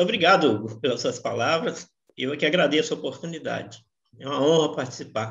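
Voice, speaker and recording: A woman's very deep, low voice, somewhat breathy, with lively intonation and a fairly quick pace. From Brazil, Minas Gerais (Belo Horizonte). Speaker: actor. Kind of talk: interview.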